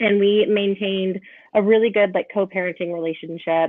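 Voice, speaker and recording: At a moderate pace, this is an unremarkable speaking voice with an American accent and ordinary pitch variation. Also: woman. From Northern California. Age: 30s. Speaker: podcast guest, photographer. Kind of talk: casual chat.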